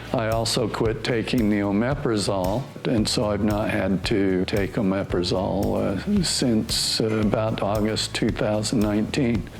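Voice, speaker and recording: Noticeable background noise and audible room echo accompany a man with a fairly low pitch. He speaks with hardly any pauses, fairly even intonation and very even loudness. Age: 60s. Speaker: patient giving testimonial. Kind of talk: testimony. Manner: hesitant, with fillers.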